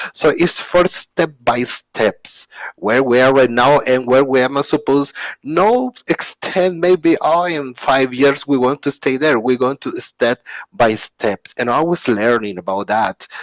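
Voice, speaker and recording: Heard in a dry, close sound with no echo, a man with a Spanish accent speaks at a fairly slow pace and a medium pitch, with ordinary pitch variation. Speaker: open source community speaker. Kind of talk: conference talk. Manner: halting.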